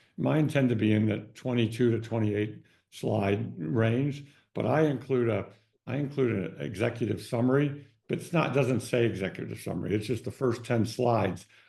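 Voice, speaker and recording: Here a man with a dark, mellow tone and vocal fry speaks at a fairly quick pace, medium in pitch with ordinary variation. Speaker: consumer goods business advisor. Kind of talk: webinar presentation. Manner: fast; hesitant, many fillers and repeats.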